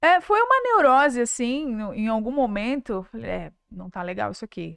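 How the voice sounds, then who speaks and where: A woman at a moderate pace with big swings in loudness. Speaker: podcast host. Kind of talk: casual chat. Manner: loud, animated with gestures.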